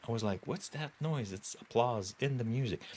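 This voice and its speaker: A man with a French Canadian accent, a fairly quick pace and very wide pitch swings. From Quebec. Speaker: tech streamer, software developer. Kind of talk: live coding stream, casual chat. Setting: livestream. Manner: halting, self-correcting.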